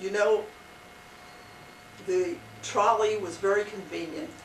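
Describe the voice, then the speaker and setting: A woman talks fairly slowly, her voice carrying audible room echo amid noticeable background noise. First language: not English. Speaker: local resident sharing memories. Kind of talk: oral history interview.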